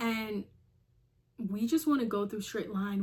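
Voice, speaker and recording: Her voice has a somewhat breathy quality. This woman speaks at a medium pitch. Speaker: lifestyle YouTuber. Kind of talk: casual vlog monologue. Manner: conversational, with repetitions.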